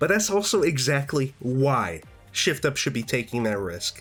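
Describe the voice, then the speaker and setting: Music sounds in the background. A man talks with very wide pitch swings. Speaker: gaming youtuber. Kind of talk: video essay commentary. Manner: casual.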